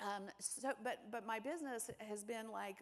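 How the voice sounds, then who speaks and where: A woman's fairly high-pitched voice in an animated tone. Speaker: keynote speaker on business and AI. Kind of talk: conference talk. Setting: stage with audience. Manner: fast.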